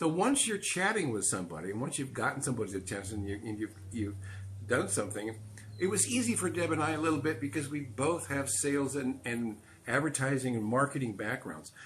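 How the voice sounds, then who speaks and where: Through noticeable background noise, a man's medium-pitched voice carries lively intonation. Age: 70s. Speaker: dating advice co-host, retired bar owner. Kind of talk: live stream talk. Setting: live social media stream.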